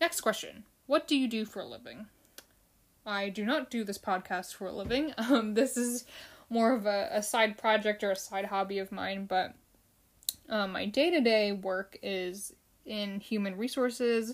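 With an American accent and an unremarkable speaking voice, a woman speaks at a moderate pace in a fairly high pitch with ordinary pitch variation. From United States (Filipino family). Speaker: podcast host, fan show. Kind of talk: solo casual podcast, episode recap. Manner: casual, with fillers and repetitions.

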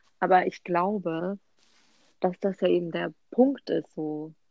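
In a dry, close sound with no echo, a woman speaks at medium pitch with ordinary pitch variation. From Hesse, Germany (Offenbach). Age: 20s. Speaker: sociology student. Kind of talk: casual chat.

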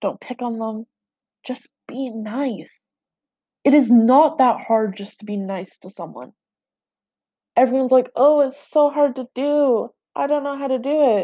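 A woman's high-pitched voice in a dark, mellow tone, fairly slow and broken by long, frequent pauses, with big swings in loudness, over a quiet background. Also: ordinary pitch variation. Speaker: podcaster. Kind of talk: personal monologue.

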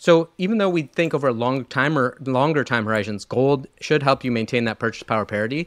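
With an ordinary speaking voice at medium pitch, a man talks at a fairly quick pace with hardly any pauses and ordinary pitch variation, in a dry, close sound with no echo. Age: 40s. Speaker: fund manager, investment firm co-founder. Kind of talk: interview about investing.

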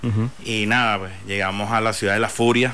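A man with a fairly low pitch and a bright, sharp tone, in a monotone, flat intonation at a moderate pace, with audible room echo. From Venezuela (Barinas). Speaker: food entrepreneur. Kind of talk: interview.

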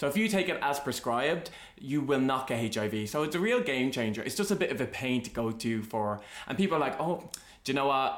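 Intonation is lively, in an Irish accent. The pace is fairly quick. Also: man, medium pitch for a man. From Ireland. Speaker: podcast host. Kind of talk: casual chat.

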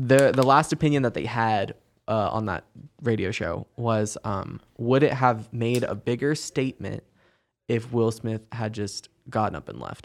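On a very clean recording with a silent background, a man in an ordinary speaking voice talks at a fairly slow pace with medium pitch and fairly even intonation. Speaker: podcast host. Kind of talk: casual chat.

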